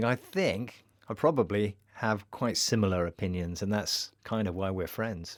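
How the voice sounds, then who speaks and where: A man talks at a fairly slow pace in a fairly low pitch with ordinary pitch variation, a plain, everyday voice. The recording is very clean, with a silent background. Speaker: podcast presenter. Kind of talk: educational podcast presentation.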